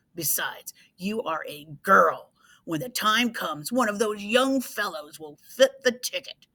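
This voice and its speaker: A woman's put-on character voice, rumbling and growling, fairly high in pitch, with lively intonation at a moderate pace. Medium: read story. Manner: grumbling.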